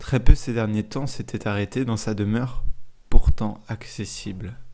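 A man speaks in a gentle, soothing tone at a very slow pace. His intonation stays fairly even. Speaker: storyteller and podcast host. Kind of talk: bedtime story telling, calm narration of a tale. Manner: slow, gentle and soothing, unhurried pacing.

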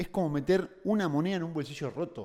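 On a very clean recording with a silent background, a man with a dark, mellow tone and fairly high pitch speaks at a fairly quick pace. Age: 20s. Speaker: entrepreneur. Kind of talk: casual chat.

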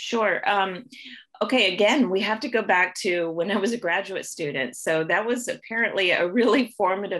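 The voice carries a Midwestern American accent. Its intonation is lively. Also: woman. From US Midwest, Ohio. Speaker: pharmacology professor. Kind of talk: interview. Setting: video call.

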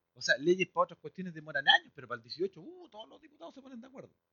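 A man with a Chilean accent speaks in an animated tone. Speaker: guest preacher. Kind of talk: sermon.

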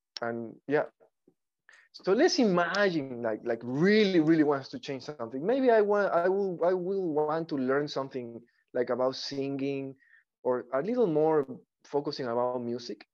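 A speaker with a Spanish accent talks at a moderate pace against a quiet background. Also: man, fairly high pitch for a man, lively intonation. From Ecuador. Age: 40s. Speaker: artist and actor. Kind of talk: interview conversation. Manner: halting.

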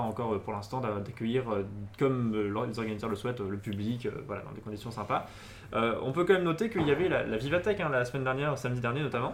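A man at a very fast pace, with audible room echo. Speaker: tech news show host. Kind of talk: casual tech news chat. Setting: studio, live stream.

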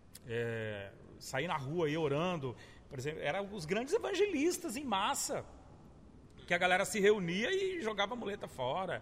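A man speaks at a moderate pace in a high pitch. His voice makes very wide pitch swings. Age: 40s. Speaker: pastor. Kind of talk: casual chat.

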